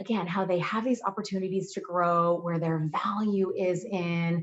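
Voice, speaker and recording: A woman speaks at a moderate pace and a medium pitch, in a normal speaking voice. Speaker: certified clinical hypnotherapist and mindset specialist. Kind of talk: casual talk to camera.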